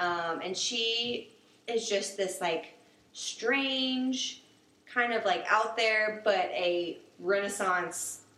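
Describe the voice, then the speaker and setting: Amid noticeable background noise and audible room echo, a woman with an American accent speaks very slowly at a fairly high pitch. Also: ordinary pitch variation. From South Carolina, Summerville near Charleston. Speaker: animal clinic worker. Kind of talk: casual chat.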